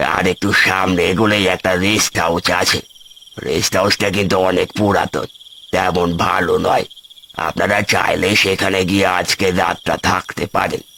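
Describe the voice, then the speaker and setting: A man does a cartoonish character voice, raspy and very deep in pitch. He talks at a fairly slow pace with monotone, flat intonation and very even loudness. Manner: halting, cryptic.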